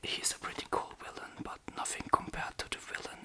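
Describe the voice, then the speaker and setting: Someone whispers over noticeable background noise. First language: German. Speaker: ASMR creator. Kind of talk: ASMR rambling. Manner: whispered; casual, rambling.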